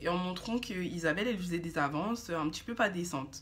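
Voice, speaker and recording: The speaker's intonation is lively and the pace moderate. The voice sounds somewhat breathy. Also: woman. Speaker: beauty and storytime youtuber. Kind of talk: casual storytelling. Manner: hesitant, many fillers.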